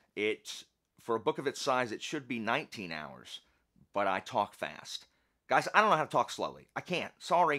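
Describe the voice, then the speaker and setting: The voice has lively intonation. Vocal fry runs through it. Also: man. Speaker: book reviewer and author. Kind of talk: casual vlog chat. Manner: fast.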